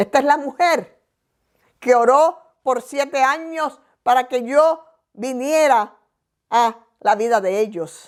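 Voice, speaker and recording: Here a woman speaks very slowly in a high voice with lively intonation. She leaves long pauses often. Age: 60s. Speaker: pastor. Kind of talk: sermon.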